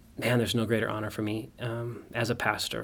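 An ordinary speaking voice: a man with an American accent, medium pitch, and a fairly quick pace. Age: 30s. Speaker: pastor. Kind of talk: casual interview.

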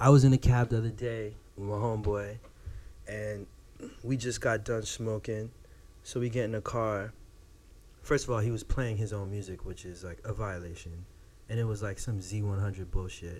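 A man's fairly low, somewhat breathy voice at a moderate pace, with fairly even intonation and long, frequent pauses. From Florida. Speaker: podcast co-host. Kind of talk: casual chat.

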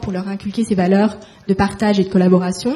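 Over noticeable background noise, a woman speaks at a fairly quick pace. Her pitch sits in the medium range, and her intonation is monotone and flat. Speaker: fashion school alumna, moderator. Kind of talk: interview questions.

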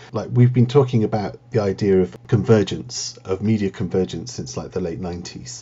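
Moderate pace and very wide pitch swings, over noticeable background noise. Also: man, fairly low pitch for a man. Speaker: university lecturer. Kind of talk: casual interview.

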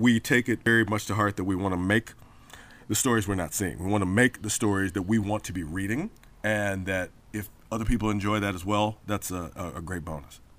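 Speaking at a fairly quick pace, a man uses an ordinary speaking voice, fairly low in pitch, with fairly even intonation. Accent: American. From Memphis, US South. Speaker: comic book writer and poet. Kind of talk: interview.

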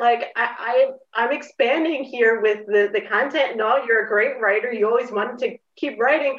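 A woman with an American accent speaks in a high pitch. Her pace is moderate. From Philadelphia. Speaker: copywriter and former journalist. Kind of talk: casual interview chat.

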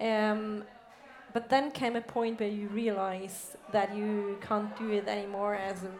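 Over noticeable background noise and audible room echo, a woman with a German accent speaks at a fairly slow pace and medium pitch in a monotone, flat way. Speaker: interviewer. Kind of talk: on-stage interview. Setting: stage with audience.

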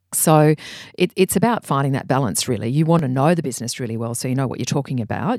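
The voice carries an Australian accent on a very clean recording with a silent background. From Australia, Brisbane. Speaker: creative director. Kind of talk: interview. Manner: animated.

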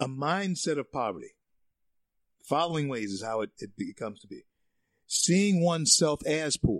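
This animated voice moves at a moderate pace with very wide pitch swings, big swings in loudness, and long, frequent pauses. The background is quiet, and the sound is dry and close with no echo. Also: man, fairly high pitch for a man. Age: 60s. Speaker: conservative talk radio host. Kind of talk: talk radio monologue. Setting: studio.

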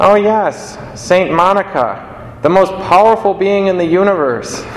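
A man uses a nasal, put-on character voice pitched high. He talks at a fairly slow pace over clear background noise. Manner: sarcastic, mocking.

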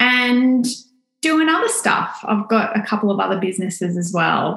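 A woman with an Australian accent speaks at a fairly slow pace. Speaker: lash salon owner. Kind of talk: podcast interview.

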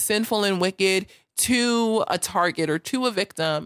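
On a very clean recording with a silent background, a woman with an American accent, a normal speaking voice, talks at a fairly slow pace with a medium pitch and ordinary pitch variation. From United States. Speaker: show host. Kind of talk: casual livestream chat. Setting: live video stream with chat.

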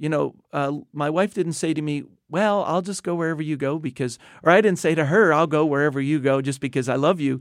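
Using a normal speaking voice, a man with an American accent talks at a fairly quick pace and a fairly high pitch with ordinary pitch variation, on a very clean recording with a silent background. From US Northeast, New Jersey. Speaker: missionary leader. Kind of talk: interview. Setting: studio.

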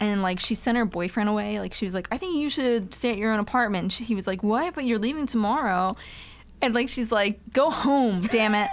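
A woman talks at a fairly quick pace, her pitch varying in an ordinary way, with noticeable background noise around her. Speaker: podcast co-host. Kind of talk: casual chat.

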